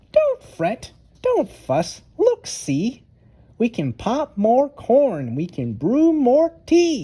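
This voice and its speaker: A woman's squeaky, high-pitched put-on character voice at a very slow pace. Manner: reassuring, gentle.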